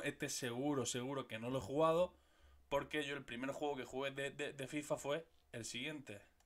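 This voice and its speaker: Over a quiet background, a man with a Murcian accent speaks at a fairly high pitch. His intonation stays fairly even. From Murcia, Spain; Spain. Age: 30s. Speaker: gaming youtuber. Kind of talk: casual video monologue. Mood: nostalgic, joking. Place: home room. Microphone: studio mic.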